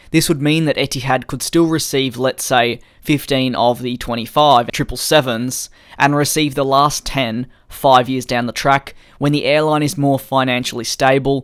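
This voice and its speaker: The speaker has an Australian accent. The delivery moves at a moderate pace. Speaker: aviation news youtuber. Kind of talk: scripted news commentary.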